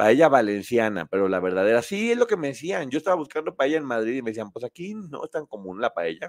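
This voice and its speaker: A man's medium-pitched, animated voice at a fairly quick pace, with very wide pitch swings, in a dry, close sound with no echo. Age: 50s. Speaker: online show host. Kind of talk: casual chat.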